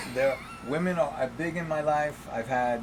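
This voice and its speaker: Speaking with a New York accent and lively intonation, a man goes at a fairly slow pace amid noticeable background noise and audible room echo. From New York, the Bronx. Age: 70s. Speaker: podcast guest, Holocaust survivor's son. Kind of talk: casual interview. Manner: halting.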